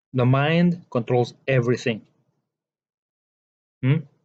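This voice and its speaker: Very slowly, a man talks with a non-native accent. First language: not English. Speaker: spiritual teacher. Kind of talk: monologue lecture.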